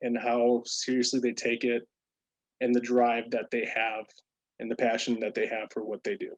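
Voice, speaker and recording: A man's voice at medium pitch comes through dry and close, with no echo. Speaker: program staff presenter, military veteran. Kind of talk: virtual presentation. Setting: video call. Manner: fast.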